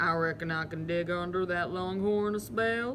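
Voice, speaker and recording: A put-on character voice drawls at a moderate pace and a middle pitch. Clear background noise sits behind it. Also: female-sounding voice. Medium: read story. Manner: drawling.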